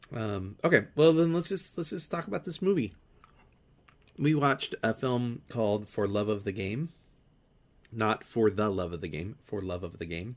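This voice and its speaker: A man's pitch swings very widely. He leaves long, frequent pauses. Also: fairly low pitch for a man, moderate pace. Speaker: film podcast co-host. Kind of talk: casual chat. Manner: halting.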